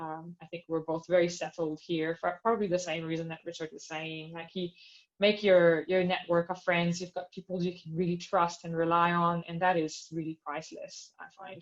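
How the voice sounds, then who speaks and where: Speaking with a non-native accent, a woman keeps a fairly low pitch and a monotone, flat intonation. She leaves hardly any pauses. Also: moderate pace, big swings in loudness. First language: not English. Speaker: astronomer on career panel. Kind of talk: panel discussion.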